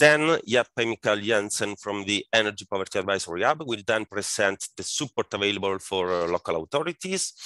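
With a bright, sharp tone and fairly low pitch, a man talks fairly quickly with hardly any pauses and ordinary pitch variation, in a dry sound with no echo and a quiet background. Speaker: webinar moderator. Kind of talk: moderator introduction of speakers.

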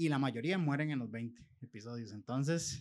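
A man at a moderate pace. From Costa Rica. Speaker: podcast host. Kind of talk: casual chat. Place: studio. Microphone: studio mic.

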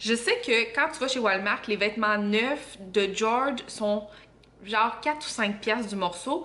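A woman with a Quebec accent speaks at a very slow pace. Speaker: vlogger and mother; vlogger. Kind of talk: casual vlog talk to camera. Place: home room. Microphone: camera far.

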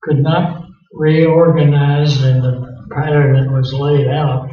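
A man's monotone, flat delivery at a very slow pace, with audible room echo. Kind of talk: interview answer. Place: meeting room.

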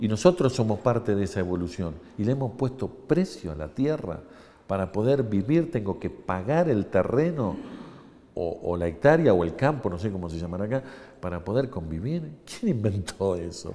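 With an Argentine accent, this voice has a dark, mellow tone, a moderate pace and very wide pitch swings. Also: man. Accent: Argentine Spanish (Rioplatense). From Argentina. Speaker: engineer and university lecturer; university lecturer. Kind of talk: interview. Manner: explanatory, frequent fillers. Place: hall.

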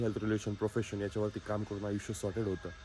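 A man with a fairly low voice talks while music plays behind him. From Maharashtra, Alandi near Pune. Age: 20s. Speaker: dairy farmer and vlogger. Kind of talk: motivational vlog.

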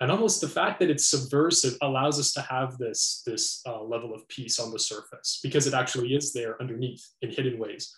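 In a Canadian accent, a somewhat breathy voice moves at a fairly quick pace with hardly any pauses and ordinary pitch variation, with audible room echo and a quiet background. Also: man. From Canada. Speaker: philosophy interviewer, educator. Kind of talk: interview. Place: home room.

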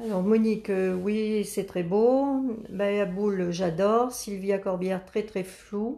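Very slowly, a woman speaks with fairly even intonation. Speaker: grandmother reading live comments. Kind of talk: reading out viewer comments. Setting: Facebook live video, behind the camera. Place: workshop. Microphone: camera far.

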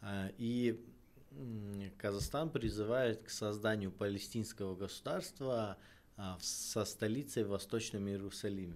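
The pace here is very slow. A man does the talking. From Kazakhstan. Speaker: political scientist; guest. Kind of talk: interview. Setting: studio. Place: studio. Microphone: studio mic.

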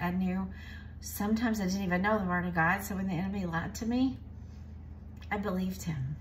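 A woman's animated voice at a very fast pace over light background noise. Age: 60s. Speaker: cooking video host. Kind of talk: casual cooking tutorial with faith encouragement. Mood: warm, cheerful, earnest. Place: kitchen. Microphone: phone near.

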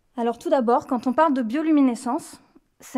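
Against a quiet background, a woman with a high pitch talks at a fairly quick pace with fairly even intonation. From France, Lyon region; France. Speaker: marine scientist. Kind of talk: public lecture. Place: hall. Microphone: podium.

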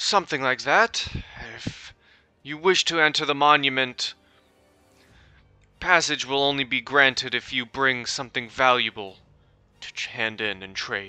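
A man performs a put-on character voice at a moderate pace. He takes long, frequent pauses as faint music plays in the background. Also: medium pitch for a man. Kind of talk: game master NPC voice, close to own voice. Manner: stern, curt, threatening.

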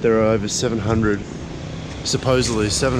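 A man talks at a fairly quick pace, the sound dry with no echo. Loud background noise runs behind him. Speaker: travel vlogger. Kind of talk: casual vlog chat. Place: street. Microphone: phone near.

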